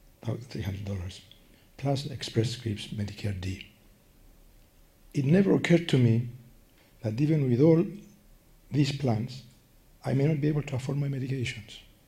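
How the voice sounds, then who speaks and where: A man with a Greek accent, medium-pitched for a man, somewhat breathy, dark and mellow in tone, with lively intonation and long, frequent pauses. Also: moderate pace. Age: 80s+. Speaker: patient advocate. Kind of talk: prepared statement. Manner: slurred, less clear speech from Parkinson's; careful reading.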